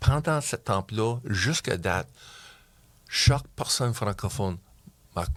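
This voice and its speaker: A man's lively intonation at a very slow pace, broken by long, frequent pauses, on a very clean recording with a silent background. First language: English (speaking French). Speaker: community club member. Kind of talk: interview. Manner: halting.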